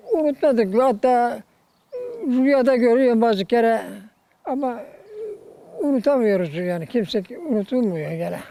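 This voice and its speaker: A man talks at an extremely high pitch with lively intonation. His pace is fairly slow, with long, frequent pauses. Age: 80s+. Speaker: retired villager. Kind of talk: interview answer.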